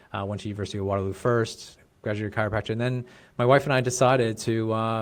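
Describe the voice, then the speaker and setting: Here a man speaks at a very fast pace. His intonation is fairly even. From Canada, Brampton, Ontario. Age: 40s. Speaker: chiropractor and business coach. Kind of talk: casual interview chat.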